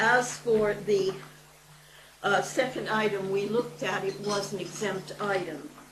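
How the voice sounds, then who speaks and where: Amid noticeable background noise and audible room echo, a woman of medium pitch talks fairly slowly with ordinary pitch variation. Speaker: local councillor. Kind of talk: council meeting report. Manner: formal, hesitant.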